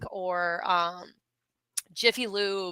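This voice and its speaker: A woman's bright, sharp tone comes through with an American accent. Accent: southern accent when excited. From Virginia, Richmond. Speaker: metal podcaster and photographer. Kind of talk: casual chat.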